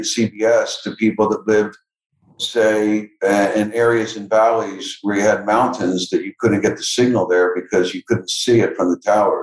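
A man with an ordinary speaking voice talks at a fairly slow pace and a medium pitch. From Philadelphia area, US. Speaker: entrepreneur and philanthropist. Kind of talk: interview.

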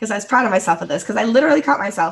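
With an American accent, a woman speaks in very wide pitch swings. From United States. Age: 50s. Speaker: podcast co-host. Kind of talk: casual chat.

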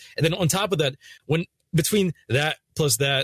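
A man's plain, everyday voice at a fairly quick pace, dry and close with no echo. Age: 20s. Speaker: gaming YouTuber. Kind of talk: casual chat.

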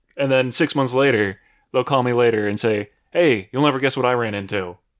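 On a very clean recording with a silent background, a man uses a plain, everyday voice at a medium pitch, speaking at a fairly quick pace with ordinary pitch variation. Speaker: IT worker and gamer. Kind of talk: casual chat.

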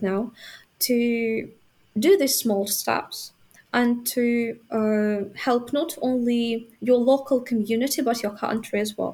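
At a very slow pace, a woman speaks in a Ukrainian accent with a high pitch and ordinary pitch variation. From Ukraine, Vinnytsia. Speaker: university student. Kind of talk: interview. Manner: halting, many fillers.

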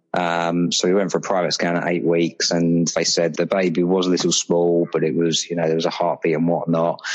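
Fairly quick speech from a man with a British accent. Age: 30s. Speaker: father sharing miscarriage experience. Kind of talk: interview about personal loss. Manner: hesitant, with fillers.

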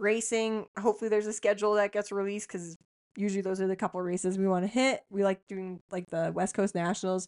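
A woman with a Canadian Prairie accent talks at a fairly quick pace in a monotone, flat intonation. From Saskatchewan, Canada. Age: 30s. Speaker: podcast co-host, motocross rider. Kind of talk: casual chat.

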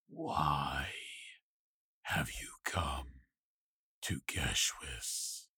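A man puts on a character voice with a very deep, low pitch. It sounds raspy. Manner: curt, cold, menacing.

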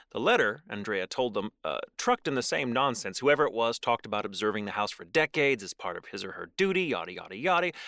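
A man with a medium-pitched, bright, sharp voice speaks at a very fast pace with hardly any pauses, in an animated, dramatic tone. His pitch swings very widely and his loudness varies greatly, in a very clean, dry, close recording with a silent background and no echo. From Texas. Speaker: podcast co-host. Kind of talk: true-crime narration, reading aloud. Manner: dramatic, suspenseful, with sardonic asides; animated, jokey.

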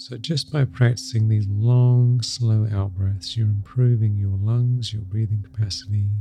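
Over music in the background, a man with a fairly low pitch speaks in a gentle, soothing tone, his intonation fairly even and hardly any pauses between words. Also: fairly slow pace. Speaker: meditation guide. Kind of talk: guided meditation. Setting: solo recording, podcast episode. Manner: slow, soft and soothing; gentle, repetitive, with long pauses.

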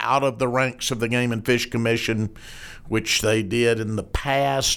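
A man speaks with a Southern US accent. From Arkansas. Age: 60s. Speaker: podcast host, newspaper editor. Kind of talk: interview.

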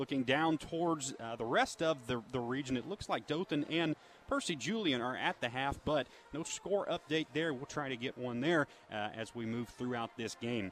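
An unremarkable speaking voice from a man, fairly high in pitch with ordinary pitch variation, at a moderate pace. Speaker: sideline reporter. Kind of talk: pregame lineup reading and sideline interview. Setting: on the field at stadium. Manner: brisk, informational.

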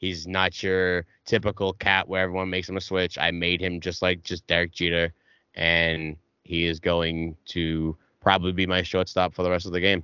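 Speaking with a strong Boston accent, a man delivers very deep, low tones at a moderate pace with monotone, flat intonation. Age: 20s. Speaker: gamer and streamer. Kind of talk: casual chat.

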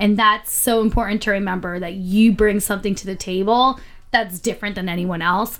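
A normal speaking voice from a woman, fairly even in intonation, with big swings in loudness. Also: medium pitch for a woman. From Philadelphia, Pennsylvania. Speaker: podcast co-host. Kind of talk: casual chat.

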